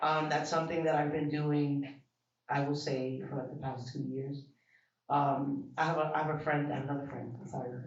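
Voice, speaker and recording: A man with an American accent speaks at a moderate pace in a fairly high pitch, his intonation monotone and flat. Audible room echo surrounds his voice. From Bronx, New York. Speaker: event attendee interviewee. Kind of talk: casual interview. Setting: art exhibition event.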